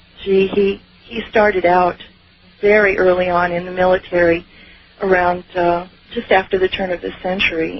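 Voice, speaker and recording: A woman speaks at a moderate pace with a fairly low pitch and monotone, flat intonation. Noticeable background noise runs underneath. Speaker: UFO experiencer. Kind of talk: interview. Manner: halting.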